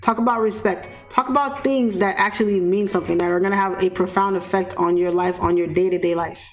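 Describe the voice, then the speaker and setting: A woman with a New York accent talks at a fairly quick pace in a medium pitch, with an animated tone and hardly any pauses. Her loudness stays very even, her pitch varies in an ordinary way, and music plays in the background. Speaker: forex trader and trading mentor. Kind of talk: live-stream commentary to chat. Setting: live stream. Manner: blunt, animated.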